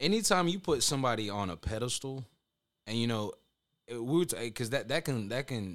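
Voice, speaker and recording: A man speaks at a moderate pace with medium pitch and very wide pitch swings. Long pauses come often. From Honduras. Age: 20s. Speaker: podcaster and conspiracy researcher. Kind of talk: casual chat. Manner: mellow.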